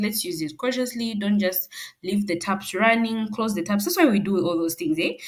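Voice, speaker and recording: A somewhat breathy woman's voice. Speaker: personal finance educator. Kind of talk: presentation. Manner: fast; halting with self-corrections.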